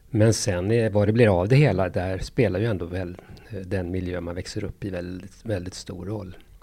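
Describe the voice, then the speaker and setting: A man speaks with a very deep, low pitch and a dark, mellow tone. His intonation is fairly even, though his loudness swings widely. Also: moderate pace. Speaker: pediatrician and parenting author. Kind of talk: interview.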